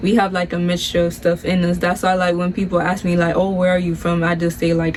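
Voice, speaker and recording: Noticeable background noise sits behind a woman with an American accent. Her fairly low voice stays monotone, with flat intonation. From Miami, Florida, Nicaraguan family. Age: 20s. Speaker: YouTuber, nursing student. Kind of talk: casual Q&A chat.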